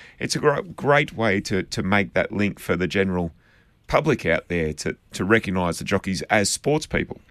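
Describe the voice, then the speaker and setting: In an Australian accent, a man speaks at a moderate pace. The recording is very clean with a silent background, and the sound is dry and close with no echo. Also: fairly low pitch for a man, lively intonation. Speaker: racing analyst. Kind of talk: radio panel discussion.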